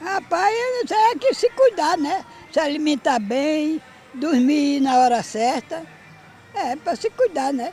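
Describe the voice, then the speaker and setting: Music plays behind a woman with a high pitch. She speaks very slowly, her pitch swinging very widely. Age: 80s+. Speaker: elderly exercise participant. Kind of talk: street interview.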